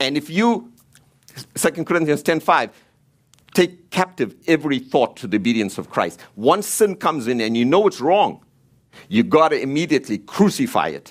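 With vocal fry and a fairly high pitch, a man talks at a moderate pace while his pitch swings very widely. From Africa. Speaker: preacher. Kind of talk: sermon.

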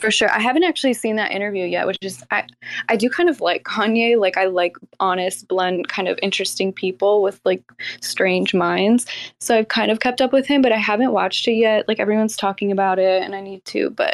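A woman with an ordinary speaking voice talks at a fairly quick pace and medium pitch with ordinary pitch variation, in a dry, close sound with no echo. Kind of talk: casual chat. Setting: online audio room.

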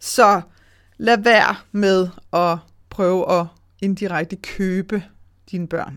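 A woman with a medium pitch talks at a very slow pace, leaving long, frequent pauses, her intonation fairly even on a very clean recording with a silent background. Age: 40s. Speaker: money mindset coach and podcast host. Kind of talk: solo podcast monologue. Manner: casual with frequent fillers.

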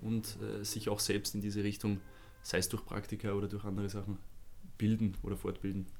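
A man talks at a fairly quick pace. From Lower Austria. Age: 30s. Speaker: social media agency manager for athletes. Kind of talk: podcast interview.

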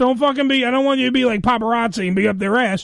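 Very fast and animated, a man speaks with ordinary pitch variation. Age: 40s. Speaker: radio show host. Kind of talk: casual chat.

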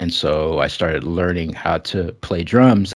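A man speaks very slowly with an American accent and ordinary pitch variation. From US West Coast, San Francisco Bay Area. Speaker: music podcast host. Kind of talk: casual chat. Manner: halting, many fillers.

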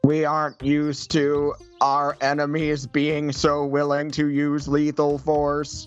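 Using a put-on character voice, a man speaks in a flat monotone at a fairly high pitch and fairly slow pace while faint music plays in the background. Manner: committed to the bit.

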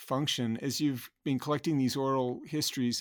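Fairly slow and at a medium pitch, a man talks in a plain, everyday voice. The recording is very clean, with a silent background. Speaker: podcast host, university film program director. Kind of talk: interview about films.

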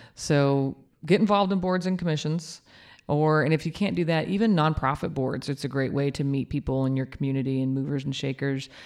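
At a fairly quick pace, a woman with an American accent talks in a very deep, low pitch with ordinary pitch variation. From Kansas. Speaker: mayor. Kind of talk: interview.

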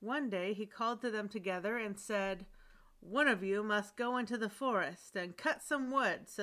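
Read aloud plainly, the voice moves through an ordinary range of pitch.

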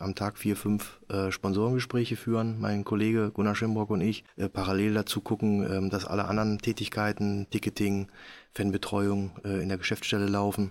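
The intonation stays flat and monotone. A man delivers it at a moderate pace. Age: 50s. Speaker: handball club managing director. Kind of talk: casual interview.

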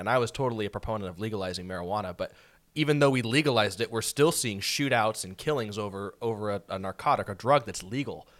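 This man has an ordinary speaking voice with an American accent, fairly low in pitch, with ordinary pitch variation. He talks at a fairly quick pace on a very clean recording with a silent background. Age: 20s. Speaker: county sheriff. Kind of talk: casual chat.

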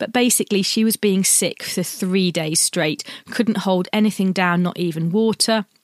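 A woman with an English accent speaks at a medium pitch and a moderate pace. Her pitch varies in an ordinary way, and the sound is dry and close with no echo. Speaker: podcast host, sewing pattern designer. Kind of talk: casual monologue.

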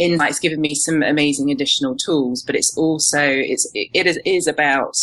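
A woman with a British accent has a very deep, low pitch. She talks at a fairly quick pace with ordinary pitch variation. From UK. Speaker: strengths coach and NLP practitioner. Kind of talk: podcast interview.

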